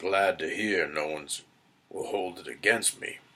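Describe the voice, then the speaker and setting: In a put-on character voice, a man speaks with a raspy, fairly low pitch. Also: moderate pace. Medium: read story. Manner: dry, sarcastic.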